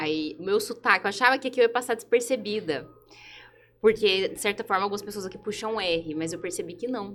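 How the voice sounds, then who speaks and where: Speaking with a Goiás accent, a woman talks at a fairly quick pace and medium pitch, with ordinary pitch variation and big swings in loudness. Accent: Goiás accent, often taken for Minas Gerais. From Brazil, Goiânia (Goiás). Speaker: lawyer. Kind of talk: podcast panel interview.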